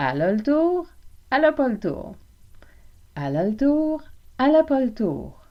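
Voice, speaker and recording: Speaking at a fairly slow pace with long, frequent pauses, a woman with a high-pitched voice uses a playful tone and very wide pitch swings. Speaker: French language teacher, podcaster. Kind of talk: language lesson podcast. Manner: informal, playful.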